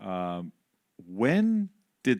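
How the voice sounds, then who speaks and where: A man with a non-native accent, on a very clean recording with a silent background. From Canada. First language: not English. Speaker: music industry executive. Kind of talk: interview on stage. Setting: stage with audience.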